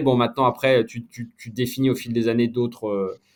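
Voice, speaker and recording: The man's intonation stays fairly even. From France, Besançon. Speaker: sports journalist. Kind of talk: casual interview. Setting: podcast. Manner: hesitant, many fillers.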